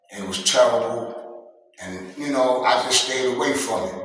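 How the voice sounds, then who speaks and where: Medium-pitched male voice amid audible room echo and noticeable background noise. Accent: American. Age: 60s. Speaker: former prisoner giving advice. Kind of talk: interview.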